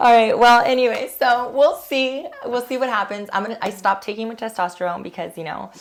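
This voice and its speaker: The speech runs on with hardly any pauses and big swings in loudness. Noticeable background noise can be heard. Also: woman, fairly high pitch for a woman, ordinary pitch variation, fairly quick pace. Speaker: video host. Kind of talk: casual chat.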